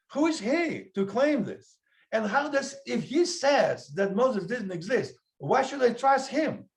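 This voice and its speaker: A man talks loudly at a fairly slow pace in an extremely high pitch, with lively intonation. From Russia. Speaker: podcast host. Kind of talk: casual debate. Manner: animated.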